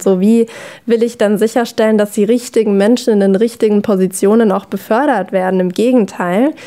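A woman with a fairly high voice and a dark, mellow tone speaks at a moderate pace. Her intonation stays fairly even, and the background is quiet. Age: 20s. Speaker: former athlete, learning design consultant; podcast guest. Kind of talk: casual chat. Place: studio.

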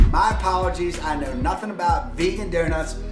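Clear background music under a man's moderate pace. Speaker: local guide vlogger. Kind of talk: casual vlog chat. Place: home room.

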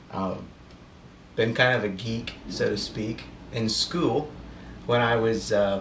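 Amid audible room echo and light background noise, a man talks at a very slow pace with long, frequent pauses and ordinary pitch variation. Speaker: airgun hunter and hobbyist. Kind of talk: casual talk to camera. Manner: hesitant, sometimes stuttering. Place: home room. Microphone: camera far.

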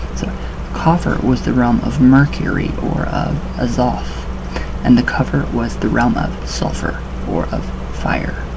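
There is noticeable background noise as a man talks. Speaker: occult-themed vlogger. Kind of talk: reading aloud with casual commentary. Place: home room. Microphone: webcam.

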